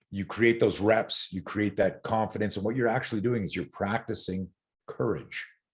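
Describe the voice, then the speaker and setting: A somewhat breathy, fairly low-pitched man with a Canadian accent. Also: moderate pace. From Canada. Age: 60s. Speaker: self-defense and fear management expert. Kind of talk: podcast interview. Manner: animated.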